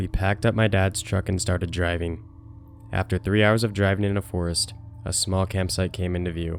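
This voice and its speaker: Fairly quick speech from a man over background music. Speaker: story narrator. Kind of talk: scary story narration.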